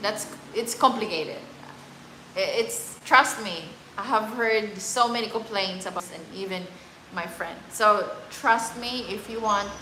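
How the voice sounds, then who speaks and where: Over noticeable background noise and audible room echo, a woman speaks at a fairly slow pace with long, frequent pauses, a fairly high pitch, ordinary pitch variation and big swings in loudness. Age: 30s. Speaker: travel vlogger. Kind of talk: live stream chat. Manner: halting.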